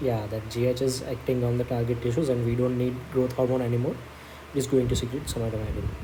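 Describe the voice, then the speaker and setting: Amid noticeable background noise and audible room echo, a man speaks very fast in a monotone, flat intonation. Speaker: medical exam study tutor. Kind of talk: tutorial.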